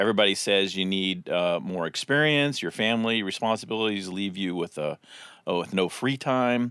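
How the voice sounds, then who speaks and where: A man speaks in a plain, everyday voice, fairly low in pitch. His pace is moderate and his pitch varies in an ordinary way. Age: 50s. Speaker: pastor. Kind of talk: casual chat.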